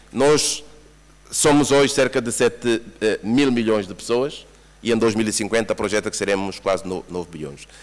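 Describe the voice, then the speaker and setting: With a Mozambican accent, a man speaks at a moderate pace. His pitch variation is ordinary. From Mozambique. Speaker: UN agency representative, former government official. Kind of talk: conference presentation. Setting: workshop room with audience. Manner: repeats words, stammering restarts.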